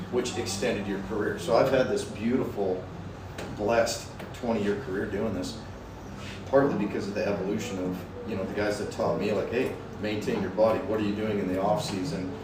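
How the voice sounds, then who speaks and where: A man with a fairly low pitch speaks at a fairly quick pace with fairly even intonation. Noticeable background noise and audible room echo fill the recording. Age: 40s. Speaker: rodeo bullfighter. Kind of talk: casual chat. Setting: barbershop. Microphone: no lavalier mics, poor audio quality.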